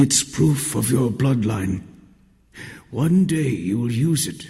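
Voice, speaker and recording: Using a booming put-on character voice, a man speaks at a medium pitch and a fairly slow pace. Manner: booming, commanding.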